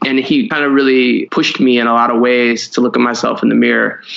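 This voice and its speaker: A man talks at a fairly quick pace with an American accent and a medium pitch. It is an unremarkable speaking voice. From Cleveland, Ohio, US Midwest. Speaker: designer and illustrator. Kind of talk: casual interview.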